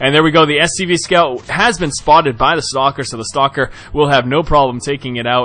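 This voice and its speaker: A man talks at a fairly quick pace and fairly high pitch in an enthusiastic tone. Noticeable background noise runs underneath. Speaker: game commentator. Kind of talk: esports game commentary. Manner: enthusiastic, fast-paced.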